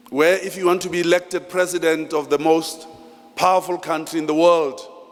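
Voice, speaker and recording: A man speaks at a fairly quick pace with a high pitch. His intonation is monotone and flat, and there is noticeable background noise. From South Africa, Free State (Thaba Nchu). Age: 60s. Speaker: master of ceremonies. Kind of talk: ceremony speech. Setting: hall with audience. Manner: formal.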